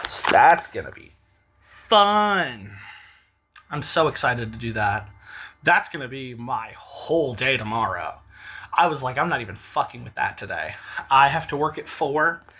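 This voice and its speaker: A bright, sharp tone at a moderate pace, with big swings in loudness and long, frequent pauses. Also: man, fairly high pitch for a man. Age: 30s. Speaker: vlogger. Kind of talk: casual vlog monologue. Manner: casual, filler-heavy.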